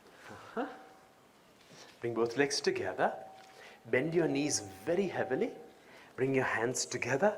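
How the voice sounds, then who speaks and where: Noticeable background noise behind a man speaking at a moderate pace with long, frequent pauses. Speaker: yoga teacher. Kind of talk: yoga class instruction. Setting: live event. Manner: melodious.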